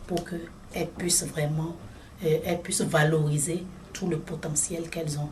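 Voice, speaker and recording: The speaker is a woman with a fairly low pitch. She talks at a fairly slow pace. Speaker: regional director of an NGO in Africa. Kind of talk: interview answer.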